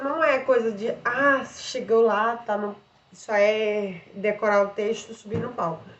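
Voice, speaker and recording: With audible room echo, a woman speaks in a fairly high voice with ordinary pitch variation. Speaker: vlogger and theatre student. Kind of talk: casual vlog explaining theatre and voice care. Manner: casual, with filler words.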